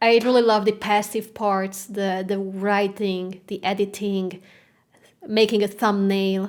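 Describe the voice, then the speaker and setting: A woman speaks fairly slowly in a Hungarian accent, at a medium pitch with monotone, flat intonation. The recording is very clean, with a silent background. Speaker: classical guitarist and content creator. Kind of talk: podcast interview. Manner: halting.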